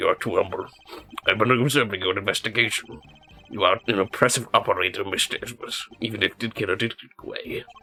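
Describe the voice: A rumbling, put-on character voice at a very fast clip. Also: man, medium pitch for a man.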